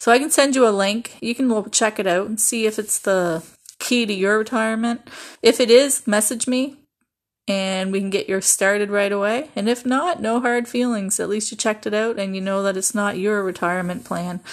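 A woman with an ordinary speaking voice talks at a moderate pace, her pitch fairly high with ordinary variation. The recording is very clean, with a silent background. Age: 50s. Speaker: podcast host. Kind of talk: sales pitch.

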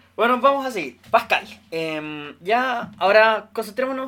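The voice is raised and projected, with a bright, sharp tone and lively intonation, in a very clean recording with a silent background. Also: man. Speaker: podcast host. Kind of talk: casual chat.

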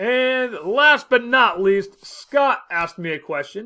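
A man's bright, sharp voice with very wide pitch swings on a very clean recording with a silent background. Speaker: podcast host and teacher. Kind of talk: solo podcast monologue. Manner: casual, with filler words.

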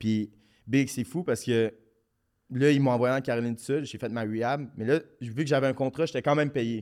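A man with a Quebec accent, fairly even intonation, a moderate pace and long, frequent pauses, on a very clean recording with a silent background. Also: medium pitch for a man. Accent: Québécois French. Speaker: professional hockey player. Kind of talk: casual podcast interview. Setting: studio.

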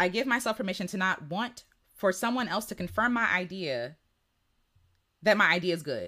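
Bright and sharp in tone, a woman at medium pitch speaks in an animated way with very wide pitch swings, in a very clean recording with a silent background. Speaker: singer and creative coach hosting a livestream. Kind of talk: casual livestream chat with viewers. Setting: live video stream at home. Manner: fast; animated, laughs often.

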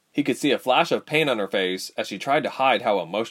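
Plain reading aloud, the intonation lively throughout.

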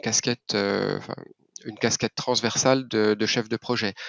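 This man's pitch sits at a medium level. He talks at a moderate pace. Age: 40s. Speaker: logistics project manager and runner. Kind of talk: interview. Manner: halting, many repetitions.

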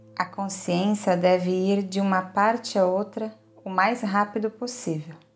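With noticeable background noise behind her, a woman speaks in a calm, soothing tone at a fairly slow pace, her pitch medium and her intonation fairly even. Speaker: yoga nidra guide. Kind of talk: guided meditation. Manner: slow, calm, soothing, with long pauses; gentle, steady, listing body parts in a measured rhythm.

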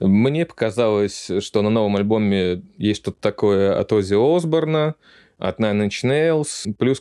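Against a quiet background with a dry, close sound and no echo, a man speaks very slowly in a fairly low pitch, his tone dark and mellow and his intonation lively. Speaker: news show host. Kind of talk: casual talk show chat.

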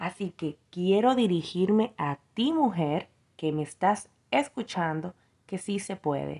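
Over a quiet background, a woman with a dark, mellow tone speaks at a very slow pace and a medium pitch, with lively intonation. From Dominican Republic. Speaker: entrepreneur. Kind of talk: prepared testimony.

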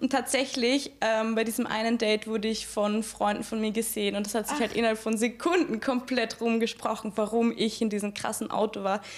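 Fairly high in pitch, a woman speaks at a fairly quick pace with hardly any pauses. Her intonation stays fairly even over noticeable background noise. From Austria, Graz. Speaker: sex worker. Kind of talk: casual chat.

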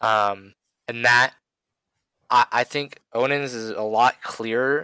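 Very slowly, a man speaks at medium pitch in a bright, sharp tone with fairly even intonation, on a very clean recording with a silent background. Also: dry, close sound with no echo. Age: 20s. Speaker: podcast co-host. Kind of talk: religious discussion.

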